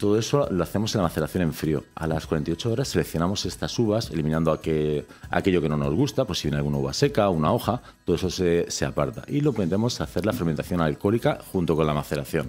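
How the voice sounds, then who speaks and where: Very fast and with hardly any pauses, a man speaks in a very deep, low voice with lively intonation. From Alicante, Spain; Spain. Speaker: winemaker; guest. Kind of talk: interview. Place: studio. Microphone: studio mic.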